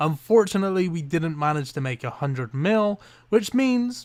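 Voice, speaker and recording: A man's fairly high voice with an English accent, very wide pitch swings and a moderate pace. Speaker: gaming youtuber. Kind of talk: gameplay commentary. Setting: home at night. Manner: animated.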